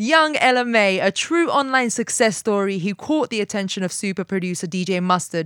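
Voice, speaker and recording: In a London accent, a woman talks with very wide pitch swings on a very clean recording with a silent background. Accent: British English, London-raised. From Malta. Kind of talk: casual interview chat.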